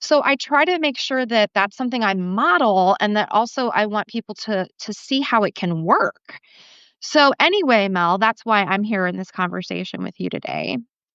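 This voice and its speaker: Using a plain, everyday voice, a woman talks at a moderate pace and medium pitch with lively intonation. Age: 40s. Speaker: writer and speaker. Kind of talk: casual chat. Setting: live video stream.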